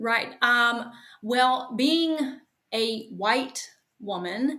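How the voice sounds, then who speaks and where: Someone speaks at a very slow pace. The voice carries an American accent. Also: woman, high pitch for a woman, ordinary pitch variation. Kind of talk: interview.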